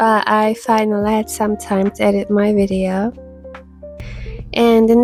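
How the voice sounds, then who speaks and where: A woman's fairly high voice with music in the background. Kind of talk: tutorial narration.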